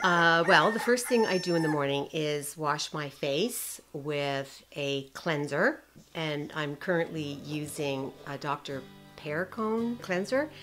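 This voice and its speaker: Music plays in the background as a woman speaks at a very slow pace. Her very deep, low voice carries lively intonation. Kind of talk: interview answer.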